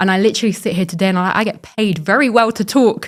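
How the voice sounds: In a very clean recording with a silent background, a woman with a medium pitch talks at a fast pace with ordinary pitch variation.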